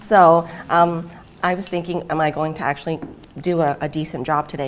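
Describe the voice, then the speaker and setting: A woman speaks with a Thai accent. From Thailand. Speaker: academic researcher. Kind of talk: conference talk. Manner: hesitant, many fillers.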